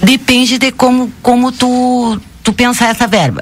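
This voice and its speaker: A woman speaks over noticeable background noise. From southern Brazil, Rio Grande do Sul. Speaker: bank branch manager. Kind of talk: radio interview.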